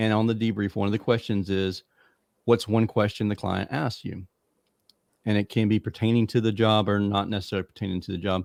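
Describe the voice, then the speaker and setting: The sound is dry and close with no echo. A man speaks at a fairly quick pace in a fairly low pitch with monotone, flat intonation. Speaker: podcast host. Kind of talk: casual podcast chat. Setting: remote recording. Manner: occasional pauses.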